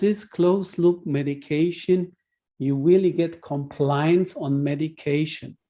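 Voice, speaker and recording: With a German accent, a man speaks slowly-ish, at a fairly slow pace, in a high pitch with a dark, mellow tone and fairly even intonation. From Germany. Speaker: healthcare technology expert speaker. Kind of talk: webinar Q&A answer. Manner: halting.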